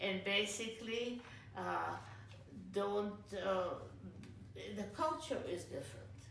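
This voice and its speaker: A woman speaks at a fairly slow pace. Audible room echo and noticeable background noise surround her. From Yugoslavia (Split, Croatia). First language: Serbo-Croatian. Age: 80s+. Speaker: immigrant interviewee. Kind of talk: interview. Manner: halting.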